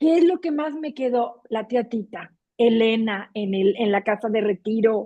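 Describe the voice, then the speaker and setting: A woman with a fairly high pitch speaks at a fairly slow pace with ordinary pitch variation. Hers is an ordinary speaking voice. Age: 60s. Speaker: book club reader. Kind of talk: casual chat.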